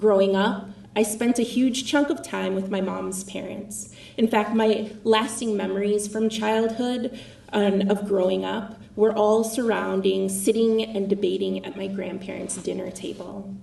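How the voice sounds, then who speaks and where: A woman with an American accent speaks fairly slowly in a shaky voice of medium pitch, with fairly even intonation. There is noticeable background noise. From Minnesota (Apple Valley, Minneapolis suburb). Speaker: political candidate. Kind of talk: speech.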